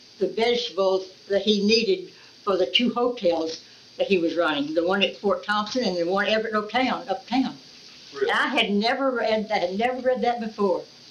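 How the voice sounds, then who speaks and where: Over noticeable background noise, a woman with a fairly high pitch speaks with an American accent. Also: ordinary pitch variation. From Florida, US. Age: 80s+. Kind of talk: oral history interview answer.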